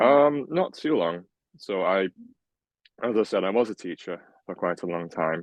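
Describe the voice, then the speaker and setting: A man with a Welsh accent speaks in a very deep, low pitch. His pace is moderate. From Wales. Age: 20s. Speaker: healthcare scientist. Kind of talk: interview.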